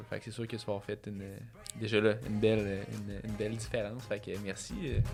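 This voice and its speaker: Man with a Quebec accent, fairly low pitch, monotone, flat intonation, and moderate pace, with music in the background. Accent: Québécois French. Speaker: climbing podcast host. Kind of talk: casual interview chat.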